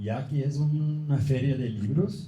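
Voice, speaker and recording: In a non-native accent, a somewhat breathy voice with a dark, mellow tone talks at a very slow pace, with audible room echo. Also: man. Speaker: professor. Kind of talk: lecture. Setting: book fair conference. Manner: halting.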